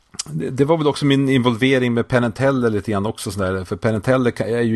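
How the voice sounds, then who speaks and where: The speech moves at a fairly quick pace with hardly any pauses and ordinary pitch variation, the sound dry and close with no echo. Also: man. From northern Sweden (Skellefteå). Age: 40s. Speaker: magician and entertainer. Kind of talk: casual chat. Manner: animated.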